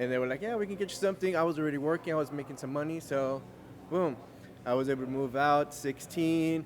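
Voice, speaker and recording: A man with a fairly high pitch speaks, and his pitch varies in an ordinary way. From Los Angeles, California (Cuban-born, childhood in Costa Rica). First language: Spanish. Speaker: Navy veteran and restaurant owner. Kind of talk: interview.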